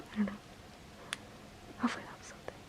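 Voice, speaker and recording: A voice whispers. Behind it, noticeable noise sounds. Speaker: ASMR creator. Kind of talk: ASMR personal attention makeup role play. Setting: home recording, built-in mic. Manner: soft-spoken.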